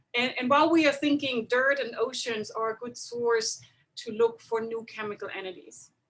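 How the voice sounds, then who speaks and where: In a German accent, a woman speaks with a high voice and a bright, sharp tone. Her pitch varies in an ordinary way. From Germany. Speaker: chemistry professor. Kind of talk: webinar lecture. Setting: video call webinar.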